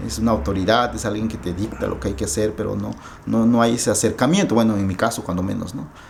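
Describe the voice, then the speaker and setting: Over noticeable background noise and audible room echo, a man with an Oaxacan accent talks at a very fast pace, his fairly low pitch showing ordinary variation. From Mexico, Oaxaca. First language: Zapotec (speaking Spanish). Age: 30s. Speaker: writer. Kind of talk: interview. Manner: halting.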